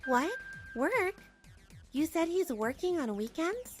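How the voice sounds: Putting on a character voice, a woman talks slowly with an extremely high pitch and big pitch swings, while faint music plays in the background.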